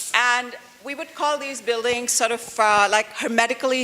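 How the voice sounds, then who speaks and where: A woman speaks in an animated tone at a moderate pace. Noticeable background noise runs underneath. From India (Delhi). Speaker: architecture professor. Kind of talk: interactive lecture. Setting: auditorium with audience. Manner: loud.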